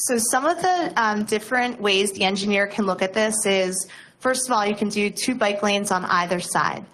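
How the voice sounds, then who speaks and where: Speaking at a moderate pace, a woman of medium pitch uses ordinary pitch variation in a room with audible echo. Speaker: nonprofit transportation planner. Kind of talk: presentation at council meeting. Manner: loud; hesitant, many fillers.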